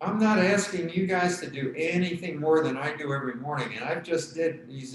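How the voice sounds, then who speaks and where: At a moderate pace, a man speaks in a fairly high voice amid noticeable background noise and audible room echo. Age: 70s. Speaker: tai chi instructor. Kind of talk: fitness class instruction. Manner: halting.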